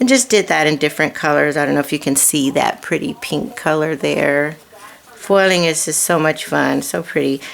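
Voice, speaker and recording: Against noticeable background noise, a woman with a very deep, low pitch speaks at a moderate pace with lively intonation. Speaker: card-making crafter. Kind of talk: crafting tutorial. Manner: casual, rambling with fillers.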